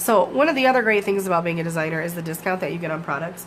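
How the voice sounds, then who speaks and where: With noticeable background noise and audible room echo, a woman with an American accent talks very fast in a fairly low voice. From Michigan, US. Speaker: craft demonstrator. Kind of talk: live craft tutorial. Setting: home basement livestream. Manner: casual, filler-heavy.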